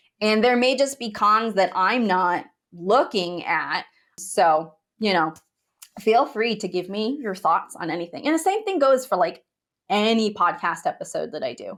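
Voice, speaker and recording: A woman speaks at a moderate pace with a fairly high pitch. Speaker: bridal hair and makeup business coach, podcast host. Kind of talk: solo podcast monologue. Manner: casual, conversational with filler words; can sound judgy in tone.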